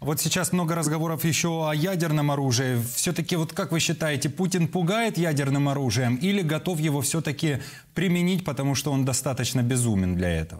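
With music in the background, a man talks at a fairly quick pace in a fairly high pitch, with ordinary pitch variation and very even loudness. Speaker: TV news presenter. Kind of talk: broadcast interview. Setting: TV studio. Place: studio.

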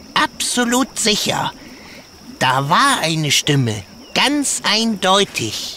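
A put-on character voice, fairly high, moves at a very slow pace with long, frequent pauses. Its pitch swings very widely over clear background noise. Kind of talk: children's audio drama. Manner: excitable.

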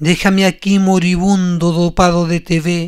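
This man talks at a very slow pace with a high pitch and a Chilean accent. His tone is intense. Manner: intense, accusatory, rising to a spitting, rhythmic venom.

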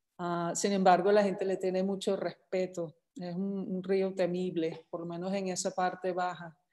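Against a quiet background, a woman speaks at a fairly slow pace with hardly any pauses, in a dark, mellow tone and monotone, flat intonation. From England, London. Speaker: landscape artist. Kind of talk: panel presentation. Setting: home studio, video call. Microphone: video call.

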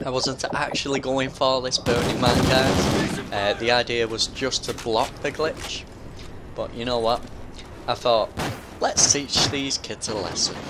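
Over noticeable background noise, a man of medium pitch talks at a fairly slow pace with fairly even intonation. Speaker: gaming YouTuber. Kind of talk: gameplay commentary. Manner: slurring.

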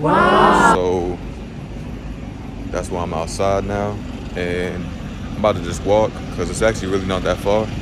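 Moderate pace from a man amid loud background noise. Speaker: vlogger. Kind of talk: casual vlog chat. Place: street. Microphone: phone near.

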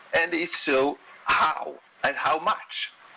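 This man speaks with a Swedish accent. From Sweden. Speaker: economics professor. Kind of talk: lecture. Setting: video call. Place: home room.

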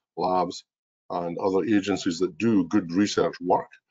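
A man with a strong Scottish accent at a moderate pace against a quiet background. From Scotland. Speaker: mining innovation executive. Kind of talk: webinar presentation. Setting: video call. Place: home room. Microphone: webcam.

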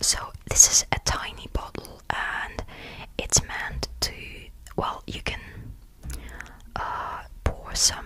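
A soft-spoken man whispering at a very slow pace with long, frequent pauses, over noticeable background noise. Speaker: video creator. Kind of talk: soft-spoken ASMR show and tell. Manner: soft close-mic ASMR whisper. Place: home room. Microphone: studio mic.

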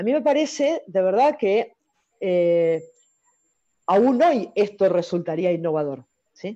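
Very slow speech from a woman with an Argentine accent, medium in pitch, dark and mellow in tone, with very wide pitch swings and long, frequent pauses. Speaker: volleyball coaches' talk host. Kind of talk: interview. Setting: video call.

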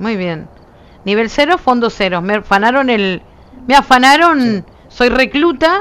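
In a Uruguayan accent, a woman talks fairly slowly at a high pitch, her pitch swinging very widely. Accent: Uruguayan Rioplatense Spanish. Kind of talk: casual gameplay livestream chat.

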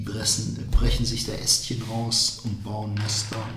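A man's voice with audible room echo. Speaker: vlogger. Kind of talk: casual vlog chat. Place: home room.

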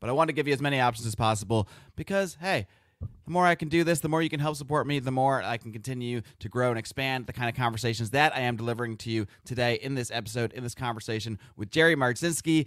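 Speaking very fast with ordinary pitch variation, a man sounds dry with no echo over a quiet background. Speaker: podcast host. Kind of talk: podcast intro and promotion. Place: home room. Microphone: studio mic.

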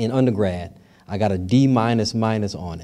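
A man's dark, mellow voice at a fairly slow pace with ordinary pitch variation. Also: quiet background. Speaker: professor, festival organizer and emcee; professor, emcee. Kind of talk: welcome speech, announcements. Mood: warm, joking. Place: hall. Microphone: podium.

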